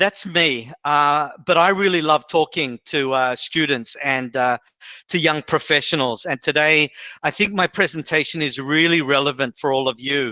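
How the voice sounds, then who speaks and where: Over a quiet background, with a dry, close sound and no echo, a man with an Australian accent speaks fairly slowly in a fairly high, bright, sharp voice with ordinary pitch variation. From Australia, Sydney. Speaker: HR executive, guest speaker. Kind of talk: presentation. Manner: many fillers and hesitations.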